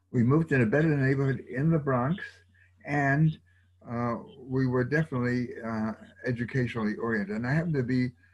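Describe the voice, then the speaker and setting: In an American accent, a somewhat breathy voice moves at a fairly quick pace, broken by long, frequent pauses, against a quiet background. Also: man. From New York. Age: 80s+. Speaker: retired educator and university program founder. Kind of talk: oral history interview. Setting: video call. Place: home room. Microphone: video call.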